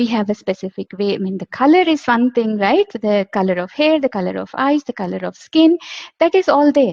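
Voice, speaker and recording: In an Indian accent, a woman talks at a fairly quick pace in a fairly high pitch with very wide pitch swings. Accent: Indian English, Telugu. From India, Andhra Pradesh (Telugu-speaking). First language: Telugu. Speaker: homeopath. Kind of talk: lecture. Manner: halting.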